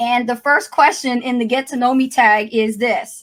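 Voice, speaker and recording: A woman's high-pitched, animated voice in a New Jersey accent at a fairly slow pace, on a very clean recording with a silent background. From New Jersey, Trenton. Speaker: YouTuber, coach. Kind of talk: casual livestream chat. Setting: live stream.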